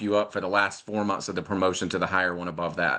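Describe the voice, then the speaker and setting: A man's bright, sharp voice with an American accent, against a quiet background. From North Carolina. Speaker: network marketer. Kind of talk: live interview. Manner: fast.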